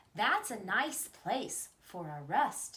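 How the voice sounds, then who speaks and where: Someone performs a put-on character voice with very wide pitch swings. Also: woman, fairly high pitch for a woman. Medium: read story.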